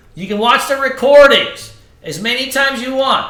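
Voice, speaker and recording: In an animated tone, a man with an extremely high pitch and ordinary pitch variation uses a raised, projected voice at a moderate pace, with audible room echo. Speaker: trading instructor. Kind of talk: live class sales pitch. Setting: live online class. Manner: loud, animated.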